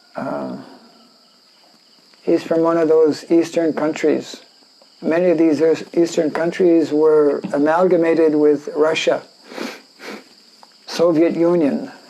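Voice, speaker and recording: Over noticeable background noise, a man with a fairly high pitch talks at a very slow pace in a monotone, flat intonation, with long, frequent pauses. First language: French. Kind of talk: scripture lecture. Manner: halting, many fillers.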